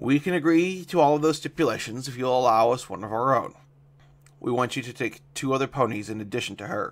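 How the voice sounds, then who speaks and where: Putting on a raspy character voice, a man races along at a very fast pace with big swings in loudness, a medium pitch and ordinary pitch variation. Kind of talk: archaic royal speech. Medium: read story. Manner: level, regal.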